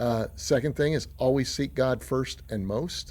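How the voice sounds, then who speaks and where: A man's dark, mellow tone at a medium pitch, with lively intonation and a fairly slow pace. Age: 60s. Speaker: pastor. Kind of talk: motivational talk. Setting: outdoors. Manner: casual, with frequent fillers.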